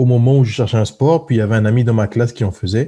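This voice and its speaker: The man's medium-pitched voice, dark and mellow in tone and somewhat breathy, runs fairly quickly with ordinary pitch variation. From southern France (Marseille area), born in French Guiana. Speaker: professional football player. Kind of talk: interview.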